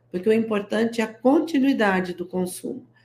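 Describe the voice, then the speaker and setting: Her voice is fairly high for a woman, with a dark, mellow tone. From interior of São Paulo state, Brazil. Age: 60s. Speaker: guest entrepreneur selling natural products. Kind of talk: interview on a live stream. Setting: live stream.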